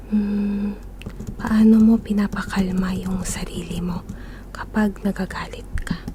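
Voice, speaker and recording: A soft-spoken woman's medium-pitched voice, calm in tone, monotone and flat, at a fairly slow pace over noticeable background noise. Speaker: ASMR creator. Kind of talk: ASMR question-asking for sleep. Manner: soft-spoken, calm.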